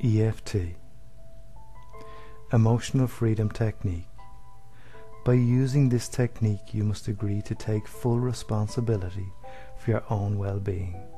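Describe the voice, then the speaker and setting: Music in the background behind a man's fairly low voice, fairly even intonation, moderate pace, and long, frequent pauses. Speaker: therapist. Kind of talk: instructional explanation.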